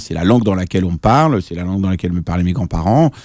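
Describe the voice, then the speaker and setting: The recording of a man is very clean, with total silence behind his voice. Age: 40s. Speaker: journalist and author. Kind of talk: radio interview. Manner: hesitant, many fillers and restarts.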